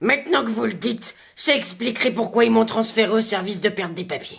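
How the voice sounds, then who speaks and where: This put-on character voice is raspy and fairly high in pitch. It moves at a fairly quick pace. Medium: voice reel. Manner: evasive, blustering.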